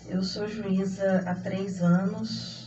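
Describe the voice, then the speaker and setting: A somewhat breathy woman's voice with fairly even intonation and audible room echo. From Brazil, Minas Gerais (Belo Horizonte). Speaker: judge. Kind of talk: radio interview.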